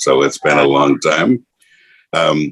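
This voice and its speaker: A man with an American accent at a fairly slow pace, in a dry, close sound with no echo. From Montana. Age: 70s. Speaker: pastor. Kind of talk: interview.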